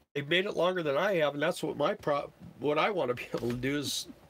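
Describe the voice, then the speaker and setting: Over noticeable background noise, a man with a fairly high pitch talks very fast, his intonation lively. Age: 60s. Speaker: full-time RV-er and work camper. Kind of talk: live stream Q&A. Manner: casual, halting.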